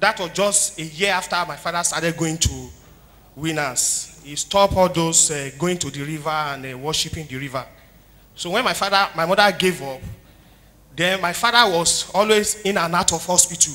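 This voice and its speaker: A man's high voice with big swings in loudness, ordinary pitch variation and a moderate pace. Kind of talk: testimony. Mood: earnest, somber story. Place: church. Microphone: handheld.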